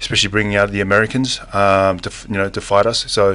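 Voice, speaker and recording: A man's fairly low voice in an Australian accent, very fast and flat in a monotone. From Western Australia, Perth. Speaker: mixed martial arts fighter. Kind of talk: studio interview. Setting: studio. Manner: halting, many fillers; laid back, casual.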